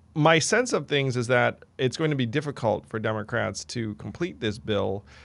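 A man with a plain, everyday voice, ordinary pitch variation and a moderate pace, against a quiet background. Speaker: podcast host. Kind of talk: casual chat. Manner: casual, filler-heavy.

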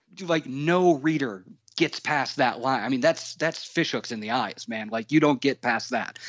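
A plain, everyday voice, belonging to a man. He speaks at a moderate pace with ordinary pitch variation. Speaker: chef and author.

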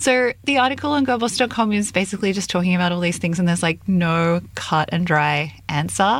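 The speaker has an Australian accent and a fairly quick pace. The intonation is lively while the loudness stays very even. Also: woman, fairly low pitch for a woman. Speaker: editorial director and co-host. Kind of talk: casual chat.

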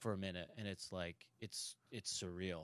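A man with a Buffalo accent speaks on a very clean recording with a silent background. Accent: Western New York (Buffalo). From Buffalo, New York. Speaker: comedian and actor. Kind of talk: casual chat.

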